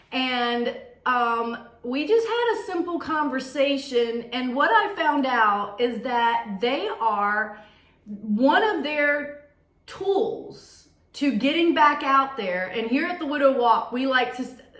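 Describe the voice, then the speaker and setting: A woman with a high pitch speaks very slowly, her pitch swinging very widely. Room echo is audible. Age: 40s. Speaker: vlog host for widows. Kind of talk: casual interview conversation.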